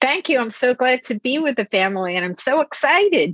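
A woman with an American accent speaks at a high pitch with big pitch swings, a slightly husky edge and a fairly bright tone, in a dry, close sound with no echo. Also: moderate pace.

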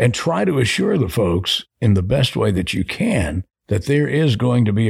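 Somewhat breathy, a man with an American accent speaks at a moderate pace with ordinary pitch variation. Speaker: radio host and program director. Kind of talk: casual interview chat. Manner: polished, composed, measured.

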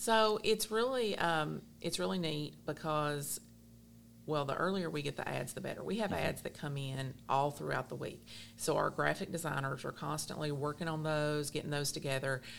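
In a Kentucky accent, a woman speaks at a moderate pace with a very deep, low voice and lively intonation. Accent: Southern US (Kentucky). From South Central Kentucky. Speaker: newspaper general manager. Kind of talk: casual interview.

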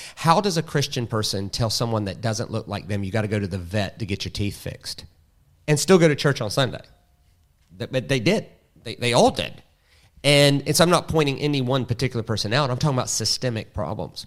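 A medium-pitched man with a Southern US accent, lively intonation and a fairly quick pace, on a very clean recording with a silent background. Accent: Southern American. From US South. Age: 40s. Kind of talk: casual interview.

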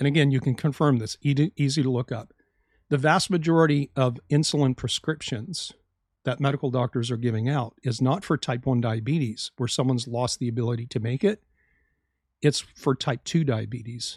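A somewhat breathy man's voice at a medium pitch, fairly quick in pace with ordinary pitch variation, dry and close with no echo against a quiet background. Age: 50s. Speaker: health podcast host, doctor. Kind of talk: solo educational podcast monologue.

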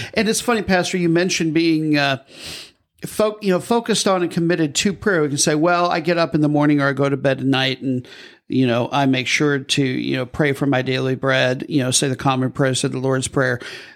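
Speaking with an American accent, a man has a plain, everyday voice. His pitch is fairly high, with ordinary pitch variation and a fairly quick pace. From US Midwest. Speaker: podcast host. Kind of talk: casual chat.

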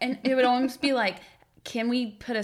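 Vocal fry runs through a woman's speech. She keeps a moderate pace. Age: 20s. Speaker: therapist. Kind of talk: casual chat.

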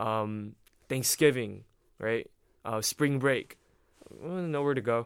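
His medium-pitched voice has a bright, sharp tone and fairly even intonation. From Taiwan (Hsinchu), international school. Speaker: college student. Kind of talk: casual interview.

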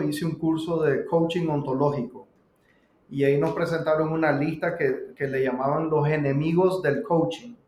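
A man with a Nicaraguan accent speaks at a fairly high pitch. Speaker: pizzeria co-owner and business coach. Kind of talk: casual interview conversation.

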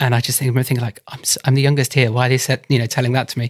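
A man's somewhat breathy, medium-pitched voice in a flat monotone, dry and close with no echo. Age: 30s. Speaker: potter. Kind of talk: interview. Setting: studio hallway, remote.

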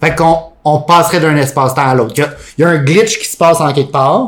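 A man with a Quebec accent speaks at a fairly quick pace in an animated tone, his fairly high voice showing ordinary pitch variation. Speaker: podcast co-host. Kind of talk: casual chat.

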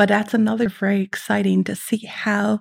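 In a somewhat breathy, medium-pitched voice with an American accent, a woman speaks at a moderate pace in a flat monotone, with a dry, close sound and no echo. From Netherlands, French schools; later California. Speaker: economist. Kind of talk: interview.

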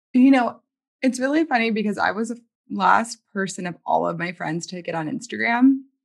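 A woman with a normal speaking voice and a fairly high pitch shows big swings in loudness. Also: lively intonation, moderate pace. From US South, New Orleans, Louisiana. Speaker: writer and poet. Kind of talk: interview.

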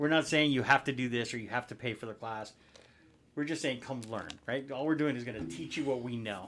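This man has a normal speaking voice at medium pitch. His pace is fairly quick, with ordinary pitch variation. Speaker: podcast co-host, real estate agent. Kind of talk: casual chat.

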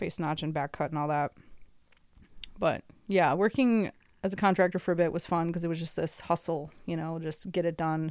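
Speaking with an American accent at a moderate pace, the voice keeps a fairly even intonation with long, frequent pauses in a very clean recording with a silent background. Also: woman, fairly low pitch for a woman. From US Midwest (Chicago area). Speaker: arborist. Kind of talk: casual chat.

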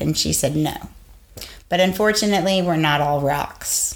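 A woman's fairly low pitch with ordinary pitch variation, an ordinary speaking voice. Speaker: podcast co-host, teacher. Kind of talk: casual chat.

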